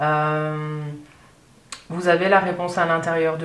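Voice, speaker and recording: Against noticeable background noise and audible room echo, a woman speaks in a calm tone at a fairly slow pace, with fairly low pitch and fairly even intonation. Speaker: tarot reader. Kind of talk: tarot reading monologue. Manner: hesitant, many fillers.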